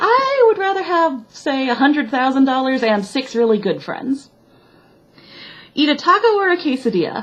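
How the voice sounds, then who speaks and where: A high-pitched woman with a slight Midwestern accent and very wide pitch swings, amid noticeable background noise. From US Midwest, Chicago. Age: 20s. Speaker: vlogger. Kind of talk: casual chat.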